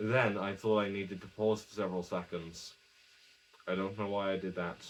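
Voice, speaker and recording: This soft-spoken man has a fairly low pitch. He talks in a monotone, flat intonation. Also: moderate pace. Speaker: YouTuber. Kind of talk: casual vlog monologue. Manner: quiet, speaking softly; halting, self-correcting.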